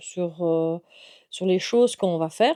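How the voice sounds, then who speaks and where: In a very clean recording with a silent background, a woman speaks with a dark, mellow tone and ordinary pitch variation. The sound is dry and close, with no echo. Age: 40s. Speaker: youtuber and chef. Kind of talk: casual vlog introduction. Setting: at home. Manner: halting, many fillers.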